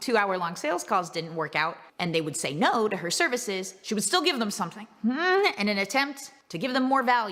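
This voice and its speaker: With an animated tone and very wide pitch swings around a medium pitch, a woman speaks over noticeable background noise. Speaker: business coach. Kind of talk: motivational business talk. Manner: casual, animated.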